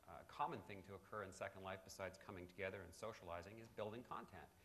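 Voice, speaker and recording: A man with an American accent talks at a very fast pace, his very deep, low voice fairly even in intonation amid audible room echo. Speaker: company representative presenting at a conference. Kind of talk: conference presentation.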